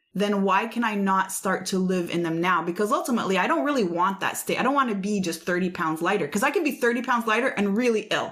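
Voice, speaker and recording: Her tone is animated, her pitch is medium for a woman, and her pitch variation is ordinary. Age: 40s. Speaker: fitness podcast host. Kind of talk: casual interview chat.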